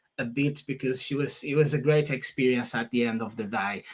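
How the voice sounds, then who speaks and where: A man talks with a Portuguese accent. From Portugal. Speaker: property investor and author. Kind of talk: casual interview. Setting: livestream.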